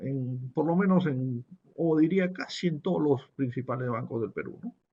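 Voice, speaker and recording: A man speaks at a moderate pace in a fairly high voice with a dark, mellow tone, a somewhat breathy quality and lively intonation. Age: 60s. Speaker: business professor. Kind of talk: webinar lecture. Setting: online webinar.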